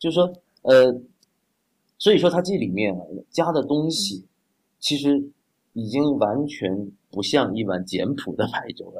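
With vocal fry and very wide pitch swings, a man talks at a fairly slow pace, leaving long, frequent pauses. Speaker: doctor and congee enthusiast. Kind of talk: casual chat.

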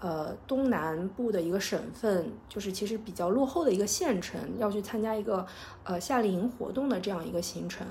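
Speaking at a moderate pace, a woman uses a medium pitch with ordinary pitch variation, and audible room echo can be heard. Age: 30s. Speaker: podcast host. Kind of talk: personal storytelling monologue. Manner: hesitant, many filler sounds.

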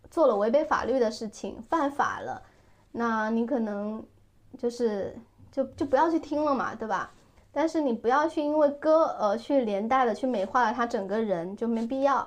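A woman talks at a moderate pace. She uses a high voice with lively intonation. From southern Fujian, China. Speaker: podcast host, former lifestyle blogger. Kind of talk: casual chat.

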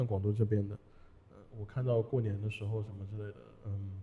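A man speaks with a fairly low pitch and a somewhat breathy quality. His delivery is monotone and flat at a fairly quick pace. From Hunan. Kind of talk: casual chat. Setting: studio.

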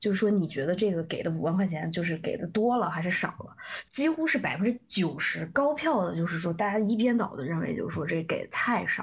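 The pace is fairly quick, with hardly any pauses. Pitch swings very widely throughout. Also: woman, medium pitch for a woman. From southern China. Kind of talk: casual chat. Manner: halting.

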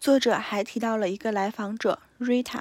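The delivery is fairly slow and monotone, with flat intonation, on a very clean recording with a silent background. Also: woman, dry, close sound with no echo. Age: 20s. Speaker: podcast host. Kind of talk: solo book review monologue.

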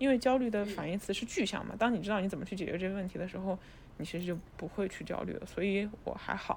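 A woman talks very fast at a medium pitch, using ordinary pitch variation. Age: 30s. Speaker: new media video director. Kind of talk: casual chat.

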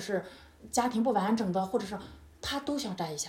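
At a fairly quick pace, a woman speaks in a fairly high pitch. Her tone is animated over noticeable background noise. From China. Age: 30s. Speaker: yoga instructor. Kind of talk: casual interview.

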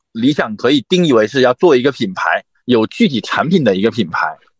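In a dry, close sound with no echo, a man talks at a fairly quick pace with very wide pitch swings. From Fujian, Xiamen. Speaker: brand marketing executive. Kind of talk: casual chat. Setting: remote call.

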